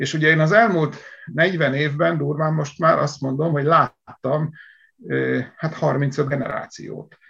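A man speaks at a very slow pace, pitched fairly high, with fairly even intonation. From Hungary, Szatmár (upper Tisza region). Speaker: agricultural engineer. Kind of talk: interview.

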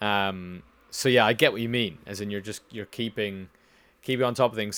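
A man's fairly low voice with a British accent, bright and sharp in tone, fairly quick, with ordinary pitch variation, on a very clean recording with a silent background. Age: 20s. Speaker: podcast host. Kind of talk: casual interview.

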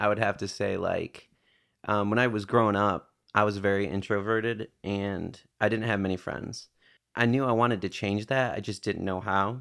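A man's fairly low, unremarkable speaking voice with an American accent, fairly even intonation and a moderate pace, on a very clean recording with a silent background. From northern Michigan, US. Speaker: barista and musician. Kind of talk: casual chat. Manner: laid-back, laughs often.

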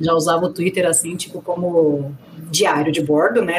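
Noticeable background noise accompanies a woman speaking at a moderate pace with fairly low pitch. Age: 30s. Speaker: sports journalist. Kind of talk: casual chat.

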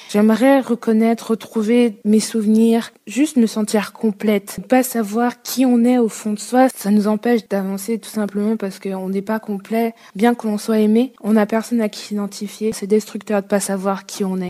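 Hardly pausing, a woman speaks with a fairly high pitch in a monotone, flat intonation. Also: moderate pace. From France, Saint-Étienne area. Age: 20s. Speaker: adoptee telling her story. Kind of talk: interview testimony.

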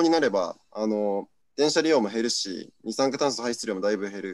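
Using a plain, everyday voice, a man talks at a fairly quick pace with lively intonation. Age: 20s. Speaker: party activist. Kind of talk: panel discussion.

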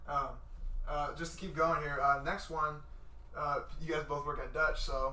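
Noticeable background noise and audible room echo surround a man who speaks with long, frequent pauses. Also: moderate pace. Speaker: podcast host. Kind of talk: casual chat. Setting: studio. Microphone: shared mic, quieter than guest.

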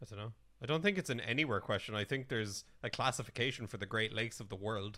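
With an Irish accent, a bright, sharp voice races at a very fast pace with ordinary pitch variation, on a very clean recording with a silent background. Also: man, medium pitch for a man. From Ireland. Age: 20s. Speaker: podcast co-host. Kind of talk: casual chat.

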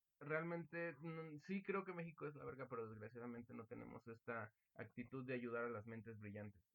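A man at medium pitch, with lively intonation and a fairly quick pace. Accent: Mexican. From Mexico. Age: young. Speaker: student podcast host. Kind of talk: casual chat.

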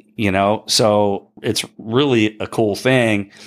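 A man with an American accent speaks in a fairly low voice with ordinary pitch variation. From South Jersey (Bridgeton, New Jersey). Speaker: surf shop co-owner. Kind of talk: casual interview.

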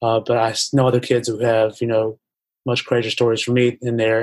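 A man with an American accent speaks at a medium pitch in a monotone, flat intonation. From US South, Indian parents. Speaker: businessman. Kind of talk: interview. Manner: halting.

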